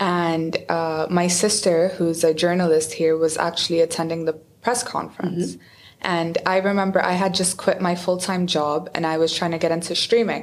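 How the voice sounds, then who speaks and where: The intonation is monotone and flat. Words come at a moderate pace. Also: woman. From UAE, Dubai. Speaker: professional esports player. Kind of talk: casual interview.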